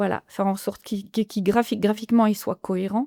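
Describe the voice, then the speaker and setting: A woman with a slight Franche-Comté accent speaks in a dark, mellow tone with ordinary pitch variation. The recording is very clean with a silent background and a dry, close sound with no echo. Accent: slight Franc-Comtois. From France, Franche-Comté (Haut-Doubs). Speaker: illustrator and author. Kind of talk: podcast interview. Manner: hesitant, many fillers and repetitions.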